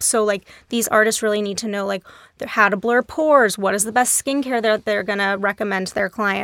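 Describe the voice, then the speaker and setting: A woman with an American accent and an unremarkable speaking voice, fairly high-pitched, at a fairly quick pace with fairly even intonation, in a dry, close sound with no echo. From Texas, Dallas. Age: 30s. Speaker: beauty industry director. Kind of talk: casual interview.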